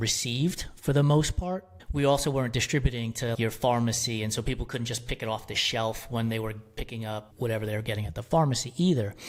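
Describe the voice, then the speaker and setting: A man with a normal speaking voice talks at a fairly quick pace with hardly any pauses, using a medium pitch and ordinary pitch variation. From New York City (Bronx), Puerto Rican family. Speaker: media company founder. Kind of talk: podcast interview.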